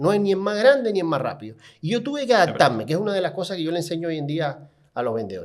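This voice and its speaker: A man talks very fast at a high pitch in an animated tone. His pitch swings very widely. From Cuba, Havana. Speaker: car salesman and sales trainer. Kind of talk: podcast interview storytelling. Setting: podcast studio.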